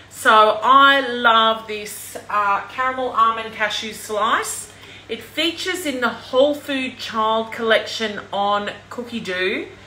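A woman speaks at a very slow pace with ordinary pitch variation. Audible room echo and light background noise are present. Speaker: presenter. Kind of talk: casual livestream chat. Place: kitchen. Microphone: phone near.

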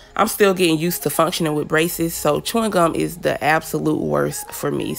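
A woman puts on a character voice, raspy and very deep and low in pitch. She talks at a fairly quick pace over clear background noise. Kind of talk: casual, chatty. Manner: chewing gum while talking.

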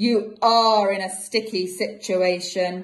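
Speaking at a fairly slow pace, a woman puts on a shrill character voice at a medium pitch. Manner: evil gloating, shrieking.

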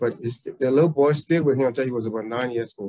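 A man speaks very fast in a dark, mellow tone with ordinary pitch variation. The background is quiet. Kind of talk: oral history interview answer. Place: home room. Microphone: webcam.

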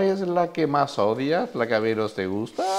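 Speaking at a moderate pace, the man has a fairly high pitch that makes very wide swings. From Spain. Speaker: interviewer. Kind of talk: interview. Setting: falla clubhouse. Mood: friendly, warm. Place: hall. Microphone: lapel.

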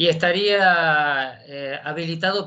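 A Rioplatense accent against a quiet background. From Argentina, Buenos Aires province. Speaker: justice of the peace court clerk. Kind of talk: audience question. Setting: video call. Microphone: video call.

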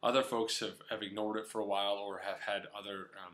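A man speaks in a fairly low pitch. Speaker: running coach. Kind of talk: casual advice vlog. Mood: friendly, encouraging. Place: kitchen. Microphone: webcam.

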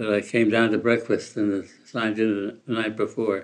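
A man speaks at medium pitch and a fairly quick pace. Noticeable background noise can be heard. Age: 80s+. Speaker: political philosophy professor. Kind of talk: interview reminiscence. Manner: halting.

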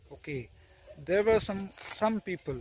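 A man speaks in a dry sound with no echo. Noticeable background noise runs behind him. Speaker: vlogger. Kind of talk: casual vlog chat. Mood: reflective, calm. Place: farm. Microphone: phone near.

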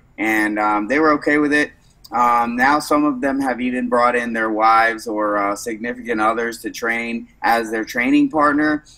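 Over a quiet background, a man with a bright, sharp tone talks at a moderate pace with fairly even intonation. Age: 30s. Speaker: jiu-jitsu gym owner and instructor; instructor. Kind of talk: casual interview. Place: gym.

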